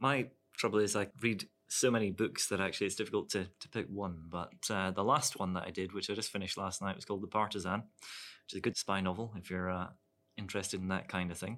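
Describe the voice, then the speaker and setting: A man's very fast, fairly low-pitched speech with fairly even intonation, in a very clean recording against a silent background. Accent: southern Scottish. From Scotland, Dumfries. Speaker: lawyer. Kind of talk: casual professional discussion. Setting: studio.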